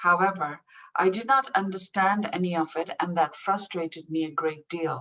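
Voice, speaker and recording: A woman talks at a moderate pace with a Pakistani accent. Her tone is bright and sharp, with ordinary pitch variation. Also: fairly low pitch for a woman. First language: Urdu. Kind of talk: prepared speech. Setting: online event.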